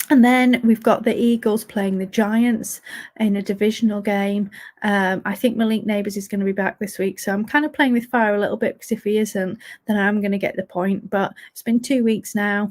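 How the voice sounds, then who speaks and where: A woman with an English accent speaks at a moderate pace in a fairly high, somewhat breathy voice. Her intonation is fairly even, her loudness swings widely, and the recording is very clean with a silent background. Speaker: fantasy football podcast host. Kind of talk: solo podcast review. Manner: monotone.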